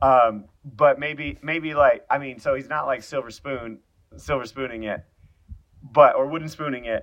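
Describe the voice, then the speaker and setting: Speaking at a moderate pace in an ordinary speaking voice, a man with fairly high pitch keeps fairly even intonation amid big swings in loudness. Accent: General American. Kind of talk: casual chat.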